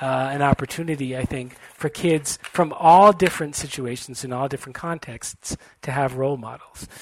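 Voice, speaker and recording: A man speaks at a moderate pace with hardly any pauses, his pitch fairly high. His pitch varies an ordinary amount while his loudness swings a lot. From US Northeast, Brookline, Massachusetts. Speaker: author and law graduate. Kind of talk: radio interview. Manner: halting, with many fillers.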